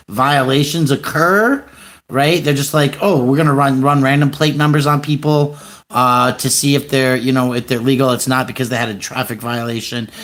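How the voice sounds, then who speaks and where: A man's ordinary speaking voice, fairly high-pitched, at a moderate pace. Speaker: livestreamer and activist. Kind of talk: phone call news tip.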